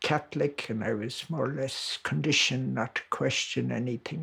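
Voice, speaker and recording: With an Irish accent, the speaker talks at a moderate pace and with fairly even intonation over noticeable background noise. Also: man. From Ireland. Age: 70s. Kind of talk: documentary interview.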